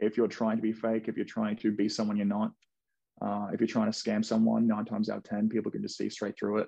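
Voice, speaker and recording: Against a quiet background, a man with an Australian accent speaks in a dark, mellow tone with ordinary pitch variation. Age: 20s. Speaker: real estate investor. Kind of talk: casual interview.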